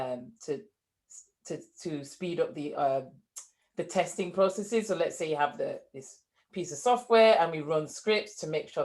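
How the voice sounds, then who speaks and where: Using lively intonation, a woman with a northern English accent speaks at a moderate pace in a fairly low pitch. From northern England, Leeds. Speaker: entrepreneur, former engineer. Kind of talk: interview.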